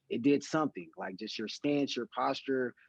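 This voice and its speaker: Using an unremarkable speaking voice, a man talks at a moderate pace with a medium pitch and ordinary pitch variation. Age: 30s. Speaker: podcast host. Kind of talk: casual chat.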